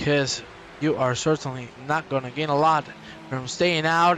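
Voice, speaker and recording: A man's fairly high-pitched voice at a moderate pace, with ordinary pitch variation and noticeable background noise. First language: Spanish. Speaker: sim racing commentator. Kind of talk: live commentary. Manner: animated. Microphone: poor microphone.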